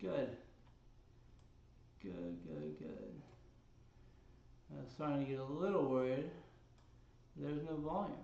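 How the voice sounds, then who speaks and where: A man mumbles at a fairly slow pace, with long, frequent pauses. Audible room echo surrounds his voice. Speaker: fitness instructor. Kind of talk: workout livestream. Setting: home workout livestream. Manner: mumbling.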